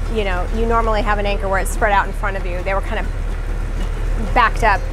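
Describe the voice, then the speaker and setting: A woman's high-pitched voice at a moderate pace, with noticeable background noise. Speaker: sailing vlogger. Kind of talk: casual vlog chat. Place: boat. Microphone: phone near.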